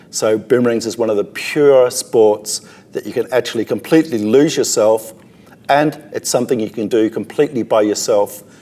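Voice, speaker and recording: Noticeable background noise sits behind a man with an Australian accent. His pitch is medium and his pace moderate. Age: 60s. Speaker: boomerang thrower. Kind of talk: interview.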